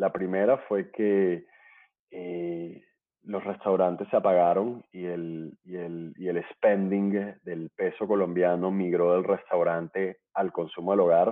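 A man speaks very slowly at a very deep, low pitch. His intonation is monotone and flat. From Colombia, Barranquilla (Caribbean coast). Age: 30s. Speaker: startup founder and CEO. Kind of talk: interview. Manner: halting, many fillers and repetitions.

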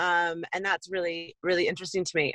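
A woman with an American accent and an unremarkable speaking voice talks at a moderate pace and a medium pitch, in a dry, close sound with no echo. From US West Coast. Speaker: butcher and chef. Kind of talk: casual interview.

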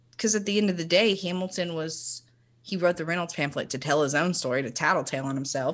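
Talking at a very fast pace, a woman with a Southern US accent has a fairly low pitch. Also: ordinary pitch variation. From Tennessee (Chattanooga). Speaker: counselor. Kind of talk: casual chat.

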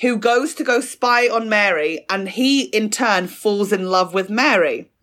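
With a southern English accent, a woman speaks at a fairly high pitch with lively intonation. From southern England, Fleet in North East Hampshire. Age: 20s. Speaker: comedian. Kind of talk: casual chat.

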